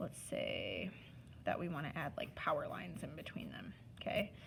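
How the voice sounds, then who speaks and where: The woman speaks at a fairly slow pace. Room echo is audible. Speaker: art teacher. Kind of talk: tutorial. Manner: casual, instructive.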